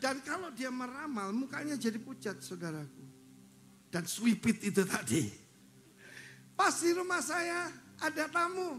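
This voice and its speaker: A man with an extremely high pitch speaks at a fairly slow pace, leaving long, frequent pauses. His pitch swings very widely, and the room echo is audible. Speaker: pastor. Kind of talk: sermon. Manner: animated.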